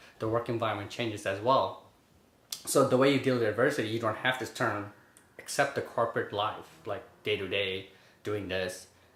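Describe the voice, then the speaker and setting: Room echo is audible as a man speaks at medium pitch and a moderate pace. His intonation stays fairly even. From Bangladesh, moved to Brooklyn at 11. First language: Bengali. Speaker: finance worker. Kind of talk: interview. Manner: casual, filler-heavy.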